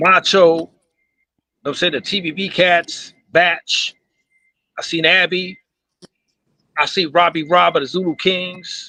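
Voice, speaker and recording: High in pitch with a bright, sharp tone, a man speaks at a fairly slow pace. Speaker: breakdancer on a discussion panel. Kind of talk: live panel discussion.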